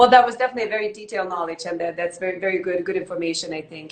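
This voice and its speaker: A woman at a very fast pace, medium in pitch, with fairly even intonation over noticeable background noise. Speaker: online show host. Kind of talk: casual interview.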